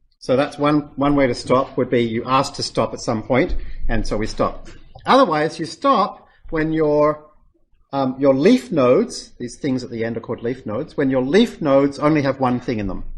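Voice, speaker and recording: Here a man talks at a moderate pace in an unremarkable speaking voice, fairly high in pitch with ordinary pitch variation. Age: 40s. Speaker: lecturer teaching machine learning. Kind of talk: lecture.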